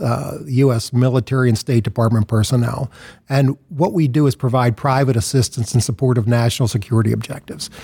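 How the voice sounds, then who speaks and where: A man with an American accent, medium pitch and a dark, mellow, somewhat breathy tone, at a moderate pace, in a dry, close sound with no echo. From US, Philadelphia. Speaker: nonprofit founder and CEO. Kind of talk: interview.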